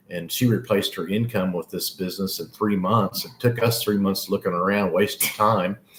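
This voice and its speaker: Against noticeable background noise, a man with an American accent talks at a fairly quick pace with hardly any pauses. His pitch is fairly low and his intonation fairly even. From Oklahoma. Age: 60s. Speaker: online business owner. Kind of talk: live-stream sales pitch. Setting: live broadcast. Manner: halting, many repetitions.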